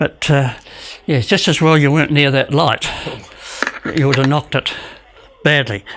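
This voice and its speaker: There is noticeable background noise as a man talks at a moderate pace, with long, frequent pauses. His pitch is fairly high with ordinary variation, and his loudness stays very even. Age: 80s+. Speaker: elderly man demonstrating home exercise. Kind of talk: casual demonstration. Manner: halting.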